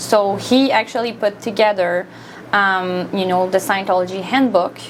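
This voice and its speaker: A woman with a French Canadian accent over noticeable background noise. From Quebec, Montreal. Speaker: volunteer minister. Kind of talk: studio interview. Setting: studio.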